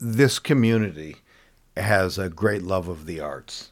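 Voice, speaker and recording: On a very clean recording with a silent background, a man speaks at a fairly slow pace with ordinary pitch variation. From US West Coast. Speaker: watercolor artist.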